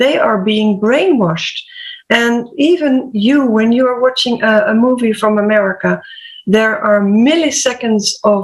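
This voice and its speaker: With a Dutch accent, a woman speaks at a fairly slow pace and very even loudness, her fairly high pitch showing ordinary variation. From Netherlands. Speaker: HR/PR coach and health podcaster. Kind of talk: panel discussion.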